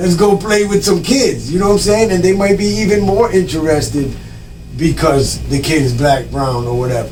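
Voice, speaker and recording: A man's fairly high voice with lively intonation at a moderate pace, amid audible room echo and noticeable background noise. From Providence, Rhode Island (Dominican family). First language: Spanish. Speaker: entrepreneur and emcee. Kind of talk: casual interview.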